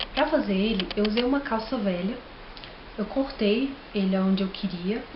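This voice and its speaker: Speaking at a fairly slow pace, a woman at medium pitch keeps a fairly even intonation amid noticeable background noise. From Brazil, Minas Gerais. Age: 20s. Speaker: DIY craft vlogger. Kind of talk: tutorial. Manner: casual, friendly.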